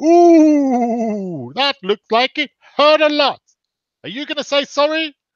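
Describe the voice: Putting on a character voice, a man talks at a fairly slow pace in an extremely high pitch.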